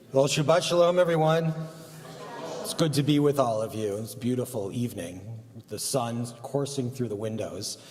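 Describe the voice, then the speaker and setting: A man's medium-pitched voice at a moderate pace, lively intonation and big swings in loudness, with noticeable background noise and audible room echo. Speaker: rabbi. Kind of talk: religious service remarks. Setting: synagogue service, live broadcast.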